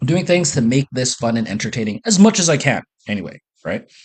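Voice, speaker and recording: Here a man speaks at medium pitch and a moderate pace. His somewhat breathy voice makes very wide pitch swings. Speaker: business and social coach. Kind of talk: casual monologue. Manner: enthusiastic; chewing while talking.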